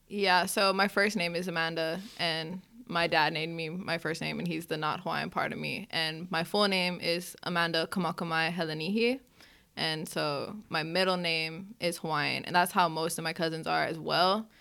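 Her pitch is fairly low, and this woman's voice carries vocal fry. She keeps a moderate pace with fairly even intonation. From Hawaii, Hilo. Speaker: college student. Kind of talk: casual chat.

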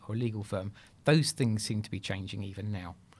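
This man talks at a very fast pace with a British accent, his pitch fairly low and its variation ordinary. The recording is very clean, with a silent background. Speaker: podcast host. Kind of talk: interview, casual professional chat.

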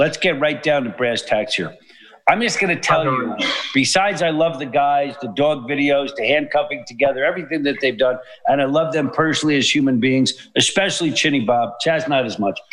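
With a New York accent, a man talks at a fairly quick pace in a fairly high voice, his tone animated. Noticeable background noise runs behind him. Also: ordinary pitch variation. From New York City. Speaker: artist. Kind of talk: casual chat. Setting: studio.

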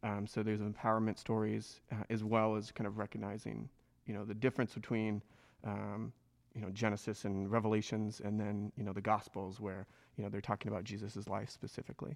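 Speaking at a fairly quick pace with monotone, flat intonation, a man with a fairly low pitch is heard on a very clean recording with a silent background. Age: 30s. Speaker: church tech and design volunteer. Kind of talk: casual group discussion.

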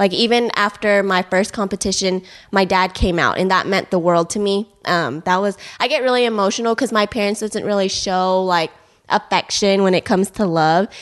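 An unremarkable speaking voice from a woman with an American accent, medium in pitch, fairly even in intonation and very even in loudness, at a moderate pace over a quiet background. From Houston, Texas. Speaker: powerlifter and fitness coach. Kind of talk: casual interview. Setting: in host's house.

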